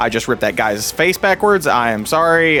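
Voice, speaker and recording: With music in the background, a man with a Kentucky accent speaks at a moderate pace, his pitch swinging very widely. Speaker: gaming YouTuber. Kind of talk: gameplay commentary. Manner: casual, halting with many fillers.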